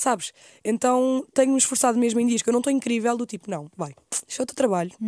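Very fast speech comes from a woman, with a dry, close sound and no echo. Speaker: youtuber. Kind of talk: casual chat.

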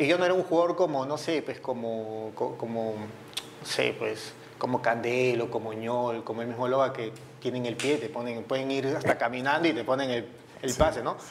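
Speech comes at a moderate pace and with ordinary pitch variation, while noticeable background noise is present. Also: man, medium pitch for a man. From Peru, Lima (Surco). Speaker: retired footballer. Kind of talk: interview. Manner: halting.

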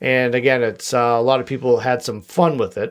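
Medium in pitch and moderate in pace, the man talks with an American accent. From US Northeast, Boston area. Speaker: podcast host. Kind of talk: casual solo podcast monologue. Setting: home studio with microphone. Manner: jokey, rambling.

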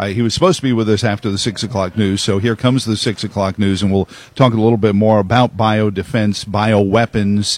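A man with an unremarkable speaking voice talks at a fairly quick pace with hardly any pauses. His pitch is fairly low and his intonation fairly even. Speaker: radio host. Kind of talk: radio interview. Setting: broadcast row at a conference.

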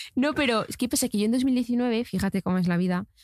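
On a very clean recording with a silent background, a woman speaks in an animated tone with ordinary pitch variation. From Spain, small town. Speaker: TikTok content creator. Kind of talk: casual interview chat.

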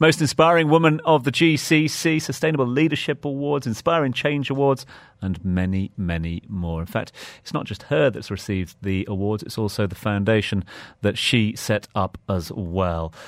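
Captured in a very clean recording with a silent background, a man's voice makes very wide pitch swings. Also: medium pitch for a man, moderate pace. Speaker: radio interviewer. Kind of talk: interview. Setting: radio studio.

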